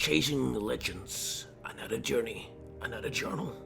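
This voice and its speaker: A man puts on a raspy character voice over clear background music. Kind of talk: dramatic journal reading. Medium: machinima. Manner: clipped, fragmentary diary phrasing.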